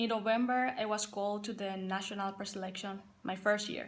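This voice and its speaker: In a Paraguayan accent, the speaker talks at a moderate pace with flat, monotone intonation. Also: woman. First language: Spanish. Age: 20s. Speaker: college soccer player and assistant coach. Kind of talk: personal testimony to team.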